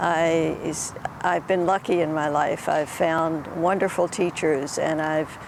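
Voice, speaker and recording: Over noticeable background noise, a woman speaks in a fairly low pitch with a monotone, flat intonation. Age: 80s+. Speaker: yoga teacher. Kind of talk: interview. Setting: outdoors. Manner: halting.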